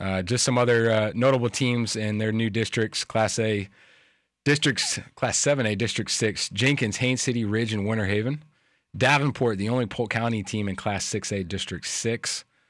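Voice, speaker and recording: On a very clean recording with a silent background, a man speaks in a normal speaking voice at medium pitch and a moderate pace. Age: 30s. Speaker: sports radio host. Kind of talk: sports talk radio.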